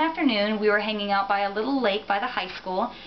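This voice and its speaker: With an American accent, a woman speaks at a fairly quick pace with a fairly high pitch and ordinary pitch variation over light background noise. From US South, Central Florida. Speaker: reptile enthusiast and performer. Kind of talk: self-introduction audition video. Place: home room.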